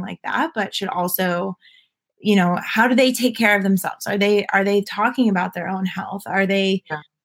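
At a moderate pace and medium pitch, a woman speaks in a plain, everyday voice, recorded very cleanly over a silent background. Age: 20s. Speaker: entrepreneur, founder of a mental wellness care package company. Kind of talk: casual interview.

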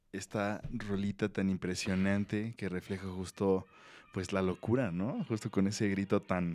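A man with a Mexican accent speaks at a fairly low pitch with monotone, flat intonation on a very clean recording with a silent background. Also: fairly slow pace. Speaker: music podcast host. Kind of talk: casual chat.

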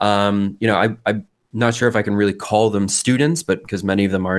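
A man with an ordinary speaking voice, fairly low in pitch and fairly even in intonation, at a fairly quick pace, on a very clean recording with a silent background. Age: 30s. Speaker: artist and internet culture researcher. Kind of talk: interview conversation.

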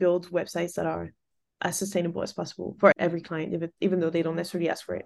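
Against a quiet background, the voice carries vocal fry and fairly even intonation. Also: woman. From France. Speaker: designer and studio founder. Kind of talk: interview. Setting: remote call.

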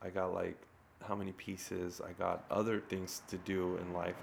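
With a Californian accent, a man speaks at a moderate pace in a very deep, low pitch. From Glendale, California. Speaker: illustrator and muralist. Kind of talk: casual chat. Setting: studio.

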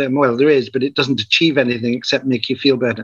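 A man with a Northumbrian accent talks at a very fast pace. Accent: northern English, Northumbrian. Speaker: community founder, spiritual teacher. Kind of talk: interview conversation with storytelling.

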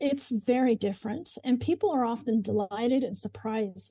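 A woman with an American accent speaks fairly quickly in a dark, mellow, somewhat breathy tone. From Oklahoma (Moore). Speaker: window cleaning business owner. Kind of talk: interview.

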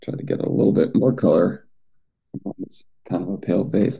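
Dark and mellow in tone, a man's voice carries vocal fry and very wide pitch swings. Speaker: video call group host. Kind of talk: casual chat.

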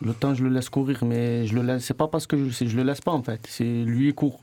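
The voice has a dark, mellow tone and moves at a fairly slow pace with monotone, flat intonation. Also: man. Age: 20s. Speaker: former student. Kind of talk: casual chat. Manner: halting.

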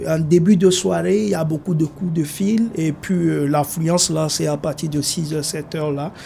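Over noticeable background noise, a man talks with hardly any pauses at a fairly high pitch, showing ordinary pitch variation. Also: fairly slow pace. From Togo. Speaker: motel receptionist. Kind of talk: documentary interview.

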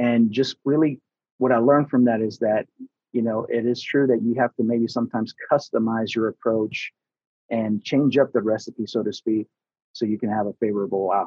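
Here is a normal speaking voice at a moderate pace with fairly even intonation. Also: man, medium pitch for a man. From US Southeast (Atlanta), born in Houston, Texas. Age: 40s. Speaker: construction safety manager and trainer. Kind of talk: casual interview.

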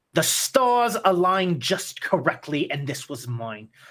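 A man performs in a put-on character voice. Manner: menacing, cold fury.

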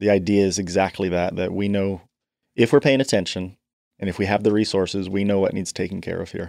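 In a very clean recording with a silent background, a man uses a normal speaking voice with fairly low pitch, fairly even intonation and a fairly quick pace. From Canada and northeast London. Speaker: charity foundation chair and financial planner. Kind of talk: interview.

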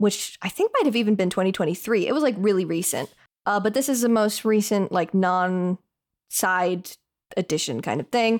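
This is a normal speaking voice at a moderate pace, with ordinary pitch variation and very even loudness. The recording is very clean, with a silent background. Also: woman, medium pitch for a woman. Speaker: podcast host. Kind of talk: casual chat.

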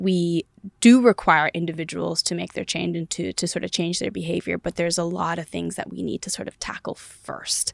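A woman with an American accent at a moderate pace, dry and close with no echo. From US West Coast, southern California (Palm Springs area). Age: 20s. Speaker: engineer, investor and congressional candidate. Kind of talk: interview conversation. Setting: studio.

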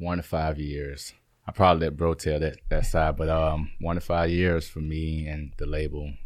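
A man with a Southern US accent, very deep and low in pitch, flat and monotone at a moderate pace. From Alabama, Birmingham. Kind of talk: interview. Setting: studio.

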